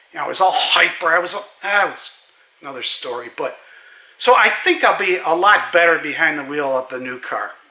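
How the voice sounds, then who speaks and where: Over noticeable background noise, a man talks at a fairly quick pace in a high pitch. His intonation is lively, with big swings in loudness. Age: 70s. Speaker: car enthusiast vlogger. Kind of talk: casual monologue. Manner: hesitant, with fillers.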